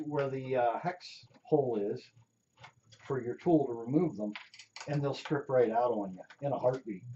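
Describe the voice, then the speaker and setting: There are long, frequent pauses as a man talks at a moderate pace. His pitch varies in an ordinary way. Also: medium pitch for a man. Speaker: robot builder, hobbyist YouTuber. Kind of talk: tutorial teardown walkthrough. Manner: casual, hesitant with many fillers.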